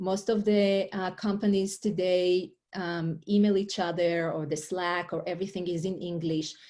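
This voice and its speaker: On a very clean recording with a silent background, a woman speaks with an Israeli accent at a moderate pace and hardly any pauses. Her medium-pitched voice has a dark, mellow tone and monotone, flat intonation. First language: Hebrew. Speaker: life coach and author. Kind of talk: interview. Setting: podcast interview.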